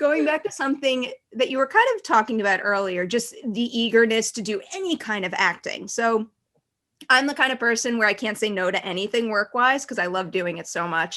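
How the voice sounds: With a Long Island accent, a woman speaks fairly quickly at a fairly high pitch. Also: lively intonation.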